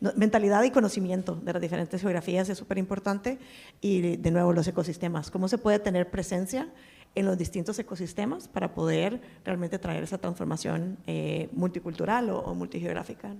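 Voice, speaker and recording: A woman speaks at a fairly quick pace with medium pitch and ordinary pitch variation. Her tone is dark and mellow, with vocal fry. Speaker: venture capital investor and former pharma executive. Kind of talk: panel discussion.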